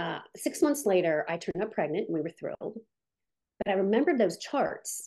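In a Midwestern American accent, a woman speaks at a fairly quick pace with very wide pitch swings and long, frequent pauses. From US Midwest, Canton, Ohio. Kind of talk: testimony.

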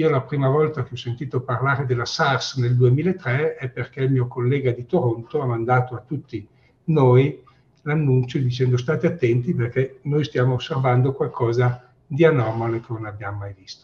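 At a moderate pace, a man speaks in a medium pitch with fairly even intonation and a somewhat breathy quality. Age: 60s. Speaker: infectious disease professor. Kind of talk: interview.

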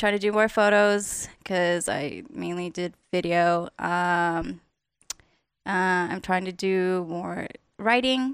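A woman speaks at a very slow pace with an American accent. Her pitch is medium, with ordinary pitch variation. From Las Vegas, US. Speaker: creative/artist. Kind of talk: casual chat.

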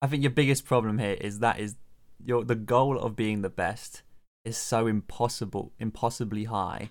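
A man talks at a moderate pace and medium pitch, with fairly even intonation. His is a normal speaking voice. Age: 20s. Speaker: podcast co-host, writer and streamer. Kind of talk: casual chat.

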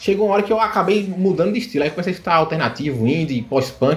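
Music plays in the background as a man speaks. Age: 20s. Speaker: card game tournament winner. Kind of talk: casual chat.

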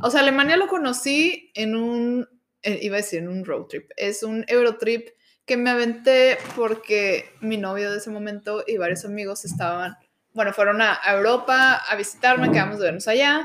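In a Mexican accent, the speaker talks at a moderate pace with ordinary pitch variation. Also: woman, fairly high pitch for a woman. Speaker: architect. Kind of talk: casual chat.

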